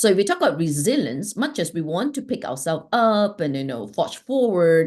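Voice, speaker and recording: A woman at a moderate pace, her pitch swinging very widely, against a quiet background. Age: 60s. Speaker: life strategist and healer. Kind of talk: interview conversation.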